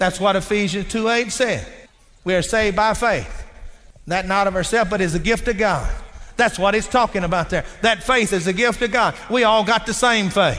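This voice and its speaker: With very even loudness and ordinary pitch variation, the voice moves at a moderate pace amid audible room echo. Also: man, high pitch for a man. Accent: Texas. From Texas. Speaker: preacher. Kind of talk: sermon.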